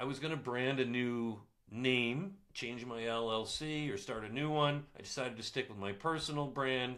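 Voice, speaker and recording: Audible room echo surrounds a man speaking at a moderate pace and medium pitch, with a bright, sharp tone and ordinary pitch variation. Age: 60s. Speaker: business coach and photographer vlogger. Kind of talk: casual vlog talk to camera.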